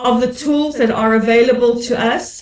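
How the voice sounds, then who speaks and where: A woman with a South African accent speaks at a high pitch. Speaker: commentator and broadcaster. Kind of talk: panel discussion. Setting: webinar.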